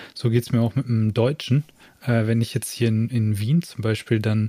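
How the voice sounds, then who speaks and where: The voice has a dark, mellow tone and sounds somewhat breathy. It moves at a moderate pace. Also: man. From Ruhr area, Germany. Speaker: podcast co-host. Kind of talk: casual chat. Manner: animated.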